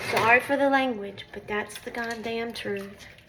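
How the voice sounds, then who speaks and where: Against noticeable background noise, a high-pitched woman talks fairly slowly with ordinary pitch variation. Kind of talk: casual talk to camera.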